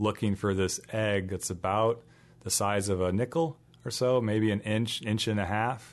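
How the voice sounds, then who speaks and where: A normal speaking voice moves along at a fairly slow pace. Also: man. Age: 30s. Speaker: conservation biologist and teacher. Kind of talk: casual interview.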